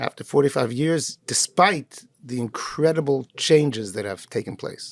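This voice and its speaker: A normal speaking voice from a man with a fairly high pitch, lively intonation and big swings in loudness, at a moderate pace, in a dry, close sound with no echo. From Canada, Montreal. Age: 60s. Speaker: rabbi. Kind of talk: interview.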